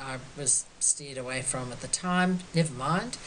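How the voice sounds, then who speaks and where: At a fairly slow pace, a woman with an Australian accent speaks with ordinary pitch variation over light background noise. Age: 70s. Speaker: quilt artist. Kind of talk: artist talk. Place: home room. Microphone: webcam.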